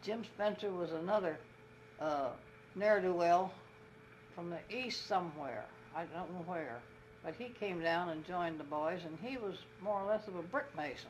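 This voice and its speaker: A woman at a fairly low pitch and moderate pace, with lively intonation, long, frequent pauses, and noticeable background noise. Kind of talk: interview answer. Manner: reminiscing, conversational.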